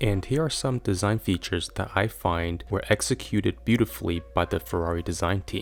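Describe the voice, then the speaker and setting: Over music in the background, a man with a very deep, low pitch talks at a fairly quick pace with hardly any pauses and very wide pitch swings. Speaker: car design reviewer. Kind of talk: scripted narration. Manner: enthusiastic.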